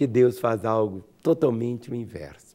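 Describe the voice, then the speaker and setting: A man's voice with a dark, mellow tone. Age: 60s. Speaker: pastor. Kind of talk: sermon. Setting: radio program.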